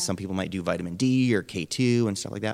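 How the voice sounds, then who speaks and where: A man with an unremarkable speaking voice talks at a fairly quick pace, his fairly low pitch showing ordinary variation, on a very clean recording with a silent background. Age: 30s. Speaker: nutritionist. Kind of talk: interview. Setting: radio show.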